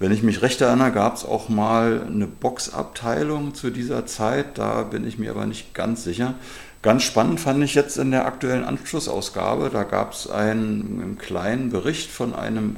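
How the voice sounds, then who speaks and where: Lively in intonation, a man with a medium pitch and an unremarkable speaking voice talks at a moderate pace. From Germany, Berlin area. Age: 50s. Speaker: football youth coach and club vice-chair. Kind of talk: interview.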